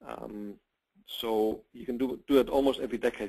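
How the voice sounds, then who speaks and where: With a German accent, a man of medium pitch speaks in fairly even intonation. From Germany. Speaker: real estate investment company president. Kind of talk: webinar sales pitch. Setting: online webinar broadcast. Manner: halting, with repeated words.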